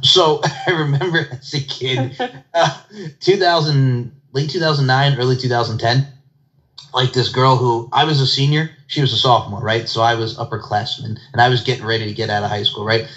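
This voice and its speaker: A man talks in an unremarkable speaking voice. His pace is moderate and his pitch variation ordinary. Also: medium pitch for a man. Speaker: podcast host. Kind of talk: casual interview chat.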